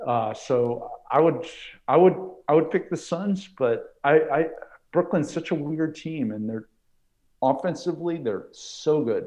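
Here a man with an American accent has a fairly high, dark, mellow voice. His intonation is lively and his pace fairly slow. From New York. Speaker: basketball analyst co-host. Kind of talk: casual sports talk.

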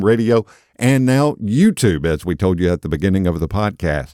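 Recorded very cleanly against a silent background, the sound dry and close with no echo, a man speaks in a plain, everyday voice at a fairly low pitch and a moderate pace. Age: 50s. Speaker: podcast host and lay preacher. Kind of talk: casual podcast talk and book review; sermon.

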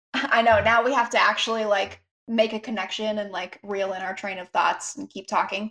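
A woman's fairly high voice, bright and sharp in tone, with big swings in loudness, fairly even intonation and a moderate pace. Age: 20s. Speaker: podcast co-host. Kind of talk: casual chat. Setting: remote call into live stream.

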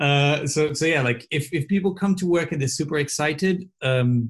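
With ordinary pitch variation, a man talks at a moderate speed in a somewhat breathy voice. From southern Brazil, Porto Alegre. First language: Portuguese. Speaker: advertising strategist and coach. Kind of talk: casual chat. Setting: video call. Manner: halting.

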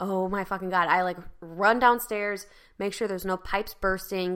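Her tone is animated, bright and sharp, at a moderate pace. The woman's recording is very clean with a silent background. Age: 30s. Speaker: podcast co-host. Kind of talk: casual chat.

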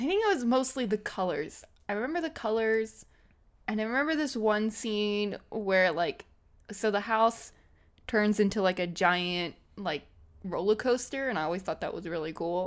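Over a silent background in a very clean recording, a woman talks at a moderate pace with lively intonation. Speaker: podcast co-host. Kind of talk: casual chat.

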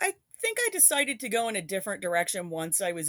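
A woman speaks at a fairly quick pace in a normal speaking voice at medium pitch. The sound is dry and close with no echo. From upstate New York. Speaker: former college radio DJ. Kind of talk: interview reminiscence.

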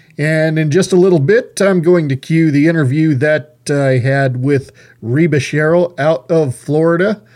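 A man uses an ordinary speaking voice, fairly high in pitch, with ordinary pitch variation. He talks at a fairly slow pace with hardly any pauses and very even loudness. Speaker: radio host. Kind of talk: radio talk show, interview and angry rant. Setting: studio. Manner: ranting, fired-up, angry.

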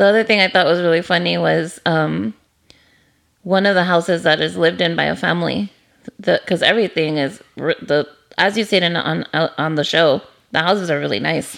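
Vocal fry colors a woman's fairly low voice as she talks fairly quickly with ordinary pitch variation. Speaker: podcast host. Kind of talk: casual chat. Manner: animated, enthusiastic.

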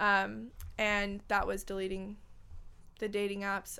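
A woman with an American accent speaks at a fairly slow pace in a medium pitch and a bright, sharp tone, on a very clean recording with a silent background. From Los Angeles, California. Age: 20s. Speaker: podcast host. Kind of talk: casual chat.

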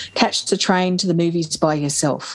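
This woman speaks with an Australian accent at a moderate pace. Her pitch is medium. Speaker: podcast host. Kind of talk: casual chat.

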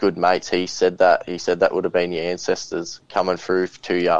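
A man with an Australian accent and a very deep, low pitch, at a moderate pace over a quiet background. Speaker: podcast host and bigfoot witness. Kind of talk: casual interview chat. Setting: video call.

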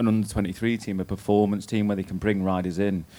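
A man with an English accent speaks fairly quickly at a fairly low pitch, with fairly even intonation and a dark, mellow tone. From Britain. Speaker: former pro cyclist. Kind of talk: live on-stage chat. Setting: stage with live audience.

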